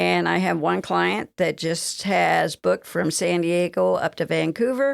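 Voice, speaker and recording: With a Southern US accent, this woman has a very deep, low pitch that swings very widely. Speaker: travel agent. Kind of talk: interview. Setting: radio studio.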